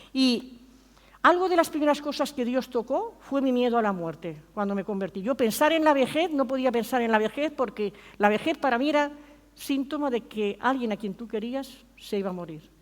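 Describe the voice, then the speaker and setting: A woman's high voice with lively intonation at a moderate pace. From Spain. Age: 60s. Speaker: pastor. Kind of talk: sermon.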